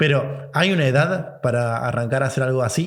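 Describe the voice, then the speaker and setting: Speaking at a fairly quick pace, this somewhat breathy voice shows ordinary pitch variation against audible room echo. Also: man. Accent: Rioplatense. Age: 30s. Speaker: podcast host. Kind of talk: podcast interview.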